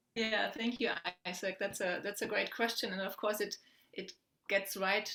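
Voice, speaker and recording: A woman of medium pitch speaks with a German accent. Her tone is bright and sharp, her intonation fairly even. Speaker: poet and academic. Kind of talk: panel Q&A answer. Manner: halting, many repeated words.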